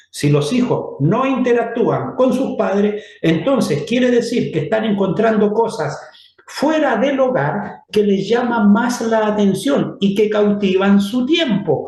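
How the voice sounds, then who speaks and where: Amid noticeable background noise and audible room echo, a man with a high voice speaks very slowly with hardly any pauses, very even loudness and lively intonation. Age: 60s. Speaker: church teacher. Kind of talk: lecture.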